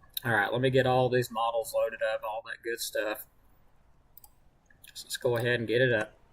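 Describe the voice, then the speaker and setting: A man with long, frequent pauses amid noticeable background noise. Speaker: amateur weather forecaster. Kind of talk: live-stream weather forecast talk.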